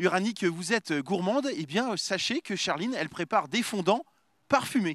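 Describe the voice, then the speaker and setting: A man talks at a moderate pace in a high voice with lively intonation, captured in a very clean recording with a silent background. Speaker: TV field reporter. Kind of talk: live TV reporting. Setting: outdoor Christmas market. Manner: hesitant, many fillers.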